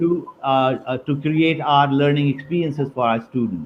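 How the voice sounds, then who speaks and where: In a Pakistani accent, a man talks at a moderate pace in a fairly high voice. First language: Urdu. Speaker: university dean. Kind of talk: webinar interview. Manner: halting, many fillers.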